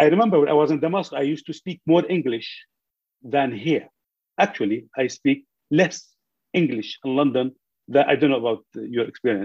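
A man with an Arabic accent talks at a fairly quick pace in a fairly high voice, his lively intonation broken by long, frequent pauses. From Syria, Idlib. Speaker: newspaper journalist. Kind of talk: webinar panel discussion. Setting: video call.

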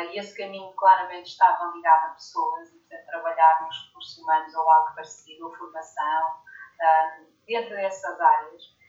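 A woman speaks. She has a plain, everyday voice. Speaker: leadership coach and author. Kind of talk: interview.

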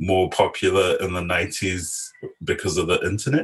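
Against a quiet background, a man talks at a moderate pace in a very deep, low, somewhat breathy voice. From New Zealand, South Auckland (Samoan community). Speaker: filmmaker and visual artist. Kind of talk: interview conversation.

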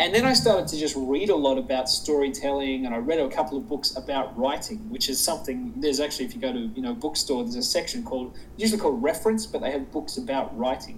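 A man with an Australian accent speaks at a very fast pace with hardly any pauses. His fairly high pitch moves in very wide swings. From Sydney, Australia. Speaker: public speaker. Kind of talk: casual interview chat.

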